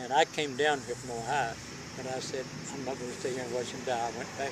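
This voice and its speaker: Talking very fast, a man with an Appalachian accent speaks at medium pitch. Noticeable background noise and audible room echo fill the recording. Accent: Appalachian Kentucky. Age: 80s+. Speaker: elderly storyteller. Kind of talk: casual chat.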